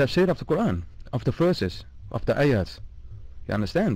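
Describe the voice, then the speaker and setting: The tone is dark and mellow, with vocal fry. The pace is fairly quick. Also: man. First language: not English. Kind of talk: heated debate. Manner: halting, many fillers and restarts.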